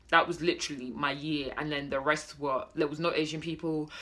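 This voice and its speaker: A woman speaks with a British accent. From Britain. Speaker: vlogger. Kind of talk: casual vlog monologue. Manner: hesitant, many fillers.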